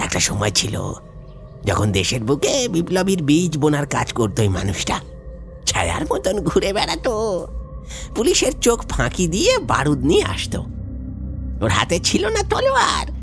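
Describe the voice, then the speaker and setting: Clear music plays behind the speech. At a moderate pace, a man puts on a character voice. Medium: audio drama. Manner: stammering, repetitive, rambling.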